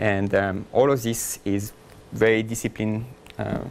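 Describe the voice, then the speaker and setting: With a French accent, a man talks in a fairly low voice. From France. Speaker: software engineer, conference speaker. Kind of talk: conference talk. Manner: fast.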